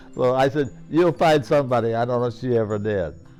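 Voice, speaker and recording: With music in the background, a man with an American accent speaks at medium pitch and a fairly quick pace with lively intonation. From Ohio, USA. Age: 80s+. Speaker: World War II veteran. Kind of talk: interview answer.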